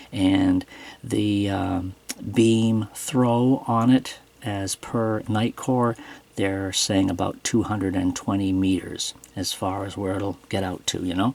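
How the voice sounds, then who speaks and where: A man talks at a very slow pace in a fairly low pitch. His intonation stays fairly even. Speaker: flashlight reviewer. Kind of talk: product review tutorial. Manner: hesitant, many fillers.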